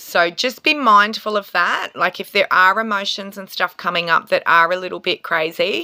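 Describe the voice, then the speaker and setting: At a fairly slow pace, a woman talks with a medium pitch. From Australia. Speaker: tarot reader and reiki healer. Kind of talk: spiritual astrology talk to camera. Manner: casual, hesitant with fillers.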